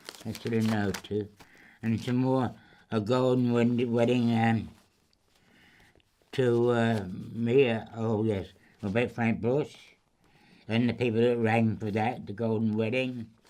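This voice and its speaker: With long, frequent pauses, a man speaks at a fairly slow pace in a medium pitch, his dark, mellow tone delivered with monotone, flat intonation. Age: 90s. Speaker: war veteran and church bell ringer. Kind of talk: interview, showing keepsakes. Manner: halting, repetitive.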